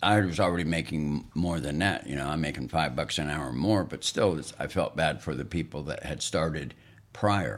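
A man speaks with a very deep, low pitch and vocal fry in an American accent. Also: ordinary pitch variation, moderate pace. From northeastern Montana. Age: 60s. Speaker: host's father, sharing life history. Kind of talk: casual chat. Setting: studio.

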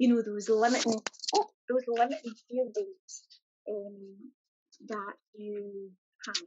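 In a Scottish accent, a woman talks at a fairly slow pace with fairly even intonation, a fairly high pitch, big swings in loudness, and long, frequent pauses. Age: 40s. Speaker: corporate employee and holistic business owner. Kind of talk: interview.

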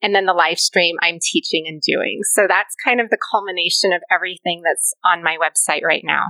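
A woman's bright, sharp tone at a moderate pace, fairly even intonation, hardly any pauses, and a dry, close sound with no echo. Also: medium pitch for a woman. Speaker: pilates and yoga instructor. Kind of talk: casual interview chat. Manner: soft, nurturing.

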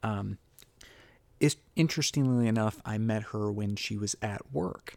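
A man speaks quietly at a fairly slow pace, his pitch fairly low. The recording is very clean, with a silent background. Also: ordinary pitch variation. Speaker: podcast host, doctor. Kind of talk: casual podcast monologue. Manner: quiet, kept volume down; halting, many fillers.

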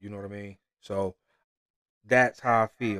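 At a moderate pace, a man with a fairly low pitch speaks on a very clean recording with a silent background. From Michigan, US Midwest. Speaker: podcast host, sports commentator. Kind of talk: casual sports talk monologue. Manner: animated.

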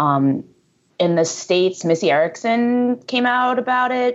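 A woman with an American accent has an unremarkable speaking voice, medium in pitch, with lively intonation. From US East Coast, greater New York area. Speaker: amateur road cyclist. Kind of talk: casual chat.

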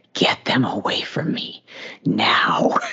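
Someone performs a put-on character voice that sounds raspy. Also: man. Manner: demanding.

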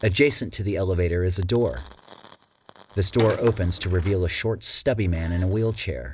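A man's very deep, low voice, somewhat breathy, at a fairly quick pace with lively intonation. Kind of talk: audiobook narration. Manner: dramatic, suspenseful narration; acts out a stuttering character.

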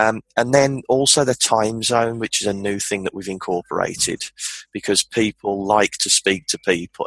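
A man with a Birmingham accent and a fairly low voice, at a moderate pace with fairly even intonation, in a dry, close sound with no echo. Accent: Birmingham (Brummie) English. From Birmingham, England. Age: 20s. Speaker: entrepreneur. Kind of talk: casual chat.

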